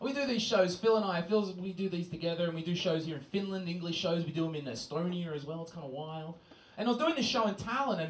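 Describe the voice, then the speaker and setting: Amid noticeable background noise and audible room echo, a high-pitched man with an Australian accent talks at a very fast pace with lively intonation. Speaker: stand-up comedian. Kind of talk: stand-up. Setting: stage with audience.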